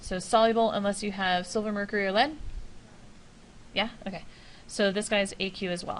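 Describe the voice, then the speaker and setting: With audible room echo, a woman of medium pitch talks at a fairly quick pace with fairly even intonation, broken by long, frequent pauses. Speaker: high school chemistry teacher. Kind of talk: classroom lecture. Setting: classroom with students. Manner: fast.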